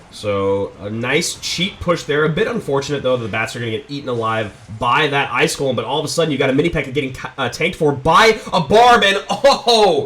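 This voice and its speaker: The voice sounds excited, with very wide pitch swings. Background noise is noticeable. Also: man, fairly high pitch for a man. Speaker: esports caster. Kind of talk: live esports play-by-play commentary.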